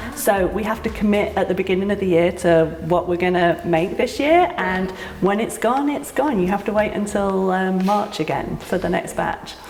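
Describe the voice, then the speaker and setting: Noticeable background noise and audible room echo fill this recording. The speaker talks with a British accent, ordinary pitch variation and hardly any pauses. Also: woman, medium pitch for a woman, moderate pace. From UK. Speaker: cidery owner. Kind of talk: casual interview. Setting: on location at a cidery.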